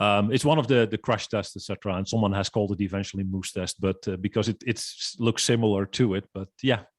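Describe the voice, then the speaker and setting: Speaking at a very fast pace with hardly any pauses, a man uses a fairly low pitch and fairly even intonation. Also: dry, close sound with no echo. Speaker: business consultant and trainer. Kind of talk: casual interview chat. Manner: halting, many fillers.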